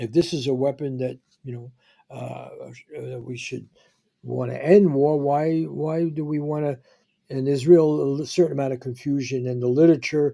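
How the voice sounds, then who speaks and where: At a moderate pace, this man talks with a fairly high pitch, fairly even intonation and big swings in loudness. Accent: New York. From New York City (the Bronx). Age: 80s+. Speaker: podcast host, journalist. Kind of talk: interview conversation. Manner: halting, many fillers and restarts.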